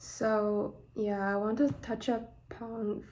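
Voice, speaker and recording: Medium pitch from a woman, the tone dark and mellow. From northeast China, Shenyang. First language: Mandarin Chinese. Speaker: vlogger. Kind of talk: personal vlog monologue. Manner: halting, many fillers.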